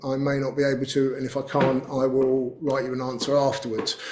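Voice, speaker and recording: Speaking with a British accent, a man's voice sits fairly high. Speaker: company CEO giving a webinar talk. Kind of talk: webinar presentation with Q&A. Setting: webinar. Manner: casual, with fillers; fast.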